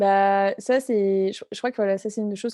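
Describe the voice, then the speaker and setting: A woman speaks in a medium-pitched, dark and mellow voice with flat, monotone intonation. The sound is dry and close with no echo, and the background is quiet. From France. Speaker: entrepreneur. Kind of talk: interview. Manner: halting, many fillers.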